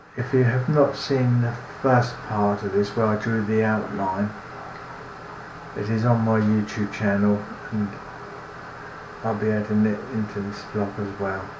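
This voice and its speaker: Amid noticeable background noise and audible room echo, a man with a British accent speaks at a fairly low pitch and a fairly slow pace, in a monotone, flat intonation with long, frequent pauses. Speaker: cartoonist. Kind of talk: tutorial narration. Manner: halting, with restarts.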